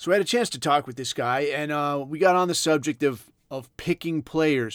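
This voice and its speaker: With an American accent, a man talks at a moderate pace with fairly even intonation in an ordinary speaking voice. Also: very clean recording, silent background. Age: 40s. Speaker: podcast host, former Navy SEAL. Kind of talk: casual monologue.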